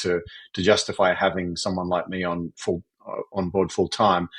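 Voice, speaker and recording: A man with an Australian accent against a quiet background. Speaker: fractional CFO and entrepreneur. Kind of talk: podcast interview.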